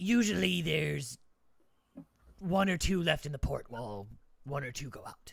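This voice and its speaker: A raspy, put-on character voice at a low-to-middle pitch, moving at a moderate pace with long, frequent pauses. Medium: actual play. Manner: dismissive, condescending.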